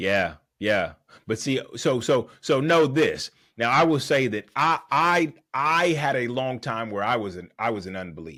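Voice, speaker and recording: Speaking at a fairly slow pace, a man with a medium-pitched, bright, sharp tone and vocal fry makes very wide pitch swings on a very clean recording with a silent background. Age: 40s. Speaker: guest sharing faith testimony. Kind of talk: testimony. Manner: halting, many repetitions.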